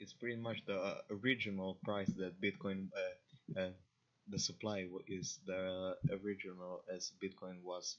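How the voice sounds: A man with an Eastern European accent and a low pitch speaks at a fairly slow pace in a fairly bright tone, with little pitch movement. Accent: Slavic.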